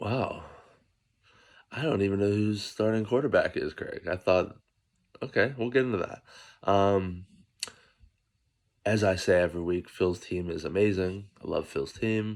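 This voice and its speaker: A soft-spoken voice at a moderate pace leaves long, frequent pauses. Pitch variation is ordinary. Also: man, fairly low pitch for a man. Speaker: fantasy football league commissioner. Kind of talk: casual sports preview monologue. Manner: soft-spoken, low volume early morning; casual, filler-heavy.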